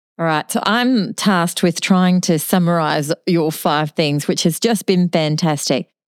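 On a very clean recording with a silent background and a dry, close sound with no echo, a woman speaks at a fairly slow pace with a fairly low pitch, ordinary pitch variation, very even loudness and hardly any pauses. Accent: Australian. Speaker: nursing podcast co-host. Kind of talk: podcast interview.

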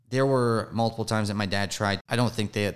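The speaker is a man with an American accent. His intonation remains fairly even. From US South. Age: 30s. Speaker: addiction recovery advocate. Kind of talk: interview.

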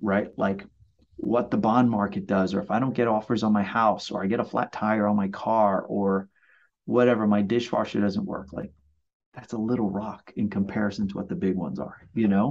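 Heard against a quiet background, this is a plain, everyday voice. The intonation is fairly even. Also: man, fairly low pitch for a man, moderate pace. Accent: American. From Brooklyn, New York. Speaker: mortgage loan officer. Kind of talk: casual chat.

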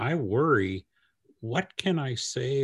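Against a quiet background, with a dry, close sound and no echo, a man of medium pitch speaks in a somewhat breathy voice. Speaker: podcast host. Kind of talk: interview.

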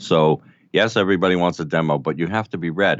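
A New York accent marks this voice. It belongs to a man. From New York City (Brooklyn). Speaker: audio producer. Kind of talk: casual chat.

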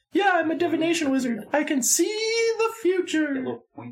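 The speaker puts on a squeaky character voice at an extremely high pitch. The pace is fairly quick. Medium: actual play. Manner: formal, dry, politely teasing.

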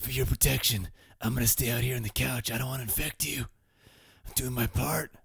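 Using a raspy, put-on character voice at medium pitch, a man talks at a fairly quick pace. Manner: heroic, self-sacrificing, deadpan.

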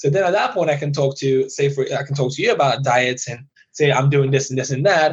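The delivery is fairly quick. There is a somewhat breathy quality to the voice. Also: man, fairly high pitch for a man. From Iran (Tehran), raised in UK. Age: young. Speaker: dentist. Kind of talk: casual interview chat. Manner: animated.

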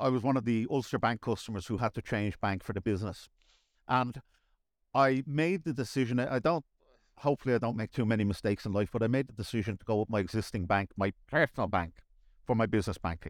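With a Dublin accent, a man talks very fast at a medium pitch with ordinary pitch variation, in a dry, close sound with no echo on a very clean recording with a silent background. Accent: Dublin Irish. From Dublin, Ireland. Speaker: managing director. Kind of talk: casual interview chat.

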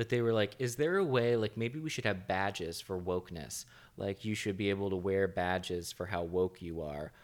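Using a normal speaking voice, a man with an American accent speaks at a moderate pace, fairly low in pitch with ordinary pitch variation. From not from the US. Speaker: podcast host. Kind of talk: casual chat.

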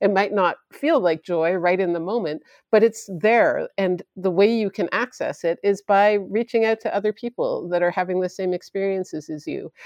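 A woman with a plain, everyday voice speaks at a moderate pace and medium pitch. Her pitch varies in an ordinary way, with hardly any pauses. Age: 40s. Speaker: painter and death doula. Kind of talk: interview.

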